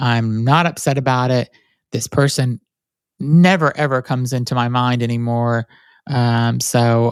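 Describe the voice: A nasal voice with a clear, smooth tone and little pitch movement at a fairly slow pace, dry and close with no echo. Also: man.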